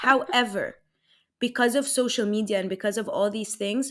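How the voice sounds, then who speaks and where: A woman's fairly high voice with an Arabic accent, on a very clean recording with a silent background. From Egypt. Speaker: life coach. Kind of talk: casual chat.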